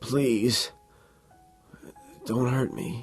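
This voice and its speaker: A put-on character voice, croaky, raspy and strained, with ordinary pitch variation and faint music in the background. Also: man, medium pitch for a man. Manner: weak, pleading.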